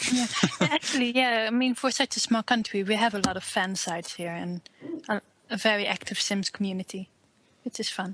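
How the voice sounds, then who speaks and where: Dry and close with no echo, the recording captures a woman in a Dutch accent at a fairly high pitch. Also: ordinary pitch variation, fairly quick pace. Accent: noticeable Dutch. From Netherlands. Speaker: fan website owner and writer. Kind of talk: interview.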